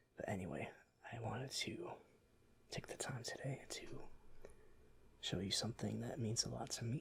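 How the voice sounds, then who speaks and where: A soft-spoken man whispers in a relaxed tone at a moderate pace. His speech has long, frequent pauses. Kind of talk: educational ASMR show-and-tell about fossils. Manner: soft-spoken, whispered, relaxed.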